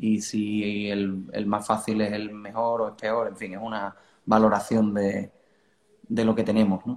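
Monotone, flat intonation from a man at a fairly slow pace. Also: fairly low pitch for a man, quiet background. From Cádiz, Andalusia, Spain. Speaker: rock band vocalist. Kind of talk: casual interview. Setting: video call from living room.

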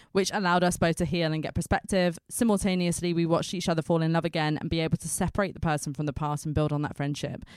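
Very fast and animated, a woman speaks at a fairly low pitch in a dry, close sound with no echo and a very clean recording with a silent background. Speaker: podcast host. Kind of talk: casual chat. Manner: animated, chatty.

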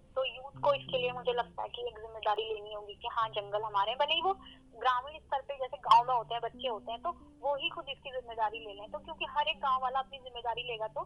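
Loudness swings widely as a woman talks at a moderate pace. Her high voice shows ordinary pitch variation. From Uttarakhand, India. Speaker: law student and radio presenter. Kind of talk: interview on environmental issue. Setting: phone call.

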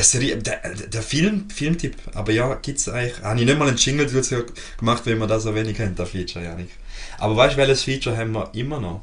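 Very fast speech from a man at medium pitch, lively in intonation, with audible room echo. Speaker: podcast co-host. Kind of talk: casual chat.

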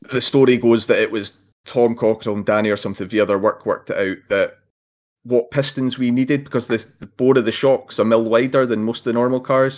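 Here a man talks at a fairly quick pace in an Edinburgh accent. His medium pitch carries fairly even intonation. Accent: Scottish (Edinburgh). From Scotland, Edinburgh. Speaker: RC car racer. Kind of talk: casual chat.

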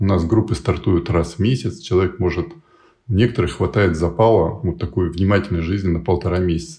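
At a fairly quick pace, a man speaks in a very deep, low pitch with ordinary pitch variation and a somewhat breathy, dark, mellow tone. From USSR, military garrisons. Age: 50s. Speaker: project founder, life coach. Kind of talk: interview conversation.

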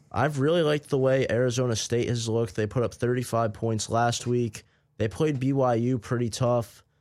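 A man with an unremarkable speaking voice talks at a moderate pace and medium pitch, with fairly even intonation and very even loudness, on a very clean recording with a silent background. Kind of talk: live college radio sports talk banter, co-host riffing on games.

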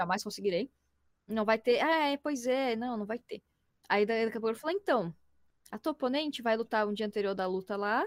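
In a dry, close sound with no echo, a woman talks at a fairly quick pace and a fairly high pitch, with ordinary pitch variation and long, frequent pauses. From Brazil, Florianópolis. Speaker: voice actress and illustrator. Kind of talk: casual chat. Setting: live stream from home. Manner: fast, talkative.

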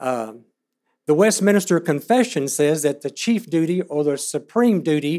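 The speaker is a man with a fairly high pitch. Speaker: guest preacher. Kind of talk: sermon. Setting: church. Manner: animated.

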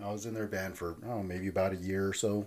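In a Californian accent, a man talks with fairly even intonation. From Southern California (Fillmore, Ventura County). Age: 40s. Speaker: hardcore punk musician. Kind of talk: casual interview chat. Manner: halting.

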